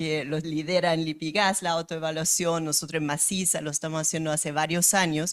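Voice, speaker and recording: A woman with a German accent. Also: very clean recording, silent background. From Germany. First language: German (speaking Spanish). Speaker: company director. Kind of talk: panel discussion. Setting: event with live audience.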